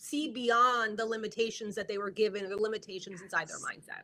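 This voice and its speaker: A woman talks in a New Jersey accent. Her pitch is fairly high. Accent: New Jersey American. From US Northeast, North Jersey. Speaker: media branding coach. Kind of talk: live video interview. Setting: live video stream.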